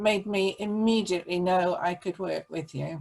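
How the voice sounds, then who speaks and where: At a moderate pace, a woman speaks in a plain, everyday voice of medium pitch with fairly even intonation. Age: 60s. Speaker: small business owner, photographer. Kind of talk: interview.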